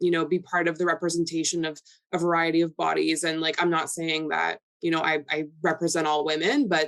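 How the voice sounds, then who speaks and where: A woman with a Canadian accent, fairly low in pitch, at a fairly quick pace with monotone, flat intonation. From Canada, Toronto. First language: Polish. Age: 20s. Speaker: model and lifestyle influencer. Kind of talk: podcast interview.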